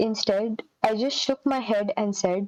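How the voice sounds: Natural reading voice, background quiet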